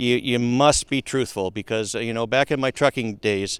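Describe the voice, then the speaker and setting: A man with a slight Minnesota accent, fairly even intonation, and a dry, close sound with no echo on a very clean recording with a silent background. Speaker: logistics company founder and CEO. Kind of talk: podcast interview. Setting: outdoors at a golf course. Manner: halting, many fillers.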